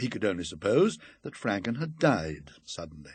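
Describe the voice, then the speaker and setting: The background stays quiet as a man talks with a somewhat breathy voice. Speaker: audiobook reader. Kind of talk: ghost story reading.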